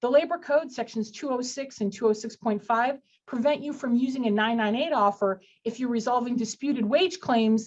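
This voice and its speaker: Her voice is high in pitch for a woman, with ordinary pitch variation. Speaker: employment lawyer. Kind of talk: webinar legal presentation. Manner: fast.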